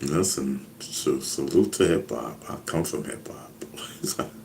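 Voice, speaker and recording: In a room with audible echo, a man with an American accent speaks at a very slow pace. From New York, the Bronx (Castle Hill). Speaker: hip hop veteran, live streamer. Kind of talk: casual live stream chat. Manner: loud; animated.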